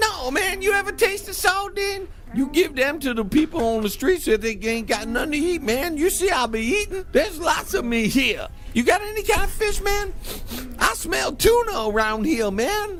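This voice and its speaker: A loud, drawling, put-on character voice at a moderate pace, with clear background noise. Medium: comedy sketch. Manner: loud, ends sentences with "man", drawling slang.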